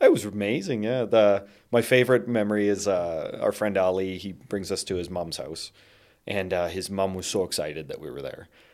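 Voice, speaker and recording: A man with a Canadian accent and an unremarkable speaking voice, fairly low in pitch, at a moderate pace with ordinary pitch variation and big swings in loudness, in a very clean recording with a silent background. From Canada. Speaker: spice merchant and traveler. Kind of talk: casual chat.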